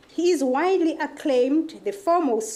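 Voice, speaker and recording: A woman speaks with an African accent and lively intonation. Her pace is fairly slow, and audible room echo surrounds her. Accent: African accent, own remark. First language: African home language. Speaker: conference session chair. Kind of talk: speaker introduction at academic conference. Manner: halting, many fillers.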